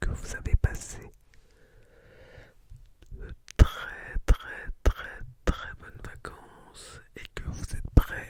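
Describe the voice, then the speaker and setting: Noticeable background noise runs beneath a whisper delivered at a very slow pace. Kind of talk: ASMR educational talk. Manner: whispered; soft, relaxing.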